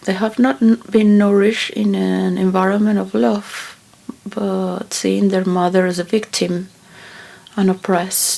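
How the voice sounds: A woman talks at a fairly slow pace with vocal fry. Her pitch is medium, and her tone slightly mellow.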